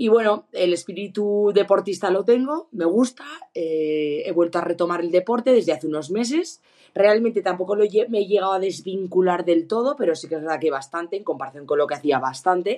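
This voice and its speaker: A woman with a dark, mellow tone speaks at a fairly quick pace with lively intonation. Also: medium pitch for a woman. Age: 30s. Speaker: ski instructor and runner sending a listener question. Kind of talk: recorded voice question.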